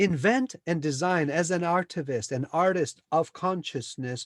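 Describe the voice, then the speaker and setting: Recorded very clean with a silent background and a dry, close sound with no echo, a man speaks fairly slowly at a fairly high pitch with lively intonation. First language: Spanish. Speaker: spiritual teacher, former software engineer. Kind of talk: interview about spirituality. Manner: animated.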